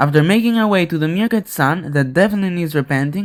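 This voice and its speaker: With a non-native accent, a man talks at a fairly quick pace in a high voice full of lively intonation. The recording is very clean, the background silent. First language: not English. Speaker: gaming YouTuber. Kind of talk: scripted narration.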